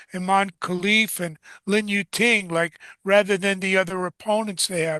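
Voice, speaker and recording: Against a quiet background, a man with a New York accent speaks in a raised, projected voice, high-pitched with a bright, sharp tone, monotone flat intonation and a moderate pace, the sound dry and close with no echo. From New York City. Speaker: combat sports journalist and co-host. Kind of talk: interview show commentary.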